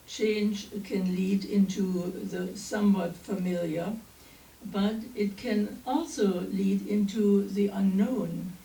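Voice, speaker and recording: With a German accent and a dark, mellow, somewhat breathy tone, the speaker goes at a very slow pace with fairly even intonation amid audible room echo. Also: woman, medium pitch for a woman. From East Germany. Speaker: minister. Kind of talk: sermon. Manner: halting.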